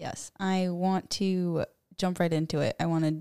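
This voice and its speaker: Recorded very cleanly against a silent background, a woman's medium-pitched voice has a dark, mellow tone and flat, monotone intonation, with a dry, close sound and no echo. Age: 20s. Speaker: college student. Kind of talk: casual chat.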